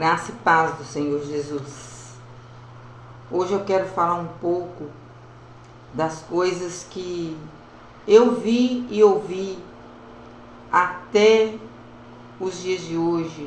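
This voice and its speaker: A woman's lively intonation at a very slow pace, fairly low in pitch, with long, frequent pauses, big swings in loudness, audible room echo and noticeable background noise. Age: 70s. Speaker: evangelical preacher. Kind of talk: devotional talk.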